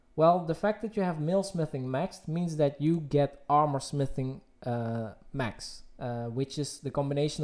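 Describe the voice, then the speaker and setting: In a very clean recording with a silent background, a man with a slight Dutch accent talks at a moderate pace in a fairly high voice with ordinary pitch variation. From Netherlands. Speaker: gaming streamer. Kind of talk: live stream Q&A. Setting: live stream.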